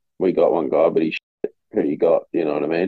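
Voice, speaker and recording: A man talks with an Australian accent, keeping to a moderate pace. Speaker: college football player. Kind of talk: casual chat.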